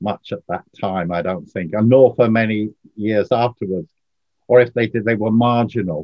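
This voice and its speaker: This is a man with an ordinary speaking voice and a fairly low pitch. He talks at a moderate pace with lively intonation. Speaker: socialist activist and author. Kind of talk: interview discussion.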